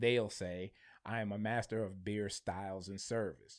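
A man with an American accent and a plain, everyday voice, at a fairly slow pace with fairly even intonation, in a very clean recording with a silent background. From Michigan, Flint. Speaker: marketing businessman and beer reviewer. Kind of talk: casual interview chat. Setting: studio.

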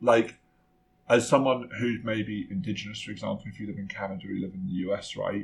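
Lively intonation marks this man's medium-pitched voice. He sounds somewhat breathy and moves at a fairly quick pace. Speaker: podcast co-host. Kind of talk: casual chat.

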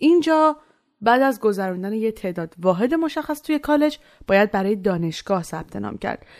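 Very wide pitch swings run through a woman's fairly high voice at a fairly quick pace. The recording is very clean, with a silent background. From Iran. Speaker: student podcast narrator. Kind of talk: scripted narration.

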